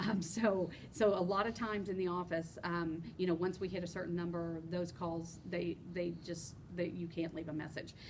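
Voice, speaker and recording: A woman speaks in a fairly low pitch with monotone, flat intonation, and audible room echo surrounds her voice. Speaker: union chapter officer. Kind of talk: informational podcast chat. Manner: fast.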